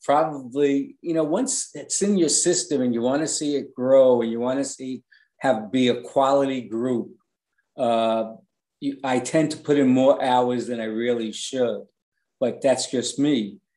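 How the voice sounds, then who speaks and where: A man with a New York accent, medium in pitch, in a dark, mellow tone, at a fairly slow pace with ordinary pitch variation. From New York City, the Bronx. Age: 60s. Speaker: online fan group administrator. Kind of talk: interview.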